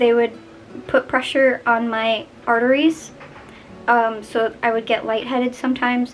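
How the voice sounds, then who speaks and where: A woman speaks at a high pitch and a moderate pace. Noticeable background noise can be heard. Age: young. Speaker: vlogger. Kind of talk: personal vlog. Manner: casual, chatty.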